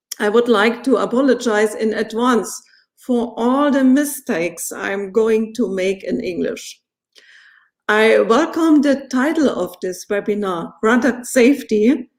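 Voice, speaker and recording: A woman's fairly high voice with a non-native accent, at a fairly slow pace with ordinary pitch variation. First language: German. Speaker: politician. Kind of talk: formal speech. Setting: webinar. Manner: formal.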